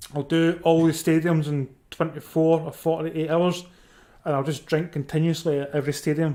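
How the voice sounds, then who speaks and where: A man speaks fairly quickly in a fairly high pitch with a dark, mellow tone. His intonation is monotone and flat. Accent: Scottish. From Scotland. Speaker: football watchalong streamer. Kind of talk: casual live commentary and chat with viewers. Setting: live stream. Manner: conversational, chatty.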